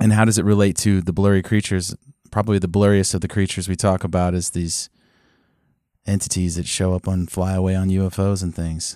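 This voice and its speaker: Over a very clean recording with a silent background, a man with a very deep, low pitch talks at a very fast pace in monotone, flat intonation. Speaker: podcast host. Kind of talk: casual chat.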